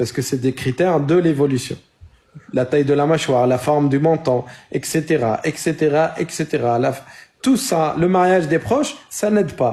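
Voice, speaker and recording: Somewhat breathy with a dark, mellow tone, a man with a non-native accent speaks at a fairly high pitch and a moderate pace. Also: ordinary pitch variation. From North Africa (Amazigh). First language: not French (speaking French). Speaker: debate moderator. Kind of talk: heated debate.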